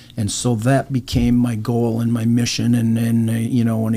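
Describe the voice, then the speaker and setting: A man's medium-pitched voice with an American accent at a moderate pace, over noticeable background noise. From Minnesota, US Midwest. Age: 70s. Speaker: charity motorcycle rider. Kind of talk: interview.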